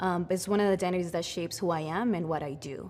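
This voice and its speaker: A woman with a Spanish accent speaks at a fairly quick pace, her fairly low pitch showing ordinary variation. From Mexico City, Mexico. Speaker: immigrant rights organizer. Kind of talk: personal testimony. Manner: conversational, with fillers.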